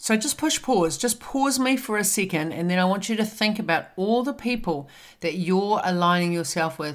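In a very clean recording with a silent background, a woman with a medium pitch speaks at a moderate pace in an animated tone with lively intonation. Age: 50s. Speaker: podcast host and wellness coach. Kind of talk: motivational talk.

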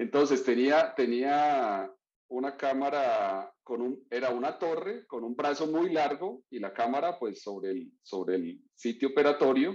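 Barely pausing, a man speaks at a fairly slow pace in a medium pitch with lively intonation. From Colombia, Florencia, Caquetá. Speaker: surgeon. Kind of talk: interview. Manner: halting.

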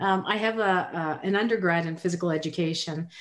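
This woman has a plain, everyday voice at a medium pitch. She talks at a moderate pace with lively intonation. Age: 50s. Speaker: podcast co-host. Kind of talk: casual chat.

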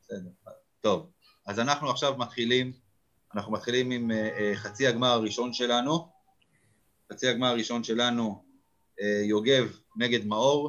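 Long, frequent pauses break up a man's speech. He talks at a moderate pace with fairly even intonation. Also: medium pitch for a man. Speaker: fan podcast host. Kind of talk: casual chat. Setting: video call.

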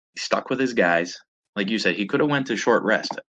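With a Pittsburgh accent, a man speaks at a moderate pace. His pitch varies in an ordinary way. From Pittsburgh, western Pennsylvania. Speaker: podcast co-host. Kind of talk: casual chat.

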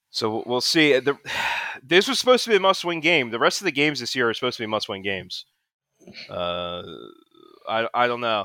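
A man's animated, bright and sharp voice with vocal fry, very wide pitch swings and a fairly quick pace, on a very clean recording with a silent background. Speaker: podcast co-host. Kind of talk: casual banter, angry sports rant. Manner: ranting, profane, animated.

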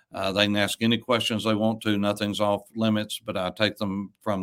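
An Appalachian accent on a very clean recording with a silent background. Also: man. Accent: Southern US (Appalachian). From East Tennessee, US South. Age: 60s. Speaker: pastor. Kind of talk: casual chat. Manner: halting.

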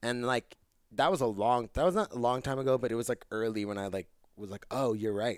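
In a very clean recording with a silent background and a dry, close sound with no echo, a man with an American accent and a plain, everyday voice speaks at a fairly quick pace with ordinary pitch variation. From South Jersey, US. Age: 30s. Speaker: musician. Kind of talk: casual chat.

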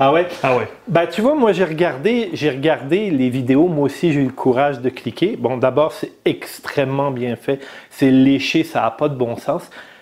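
A man's fairly high pitch with ordinary pitch variation over noticeable background noise. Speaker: motorcycle podcast host. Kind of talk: casual chat. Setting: studio.

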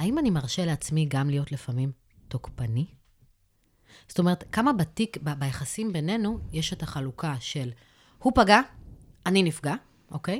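A woman with a very deep, low pitch and a somewhat breathy voice talks at a moderate pace, her pitch swinging very widely between long, frequent pauses. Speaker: social worker and therapist. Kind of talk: expert advice discussion.

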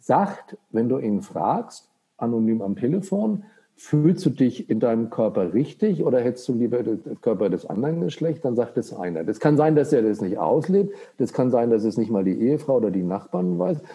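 A man at a medium pitch talks with very wide pitch swings. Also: moderate pace. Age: 60s. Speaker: psychiatrist. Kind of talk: casual chat.

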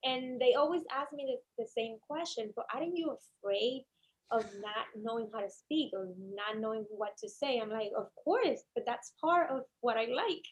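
In a Cuban accent, a woman talks at a moderate pace with a high pitch and lively intonation. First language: Spanish. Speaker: attorney. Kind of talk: interview. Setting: studio.

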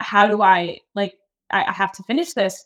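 A woman's ordinary speaking voice with an American accent, medium pitch, and ordinary pitch variation. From Key West, Florida. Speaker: fitness coach and former marathoner. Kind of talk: casual conversational interview.

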